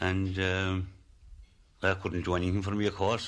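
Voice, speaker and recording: Speaking fairly quickly in a Kerry accent, a man uses a fairly low pitch and fairly even intonation. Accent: rural Kerry Irish. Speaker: former lime burner. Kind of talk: interview recollection.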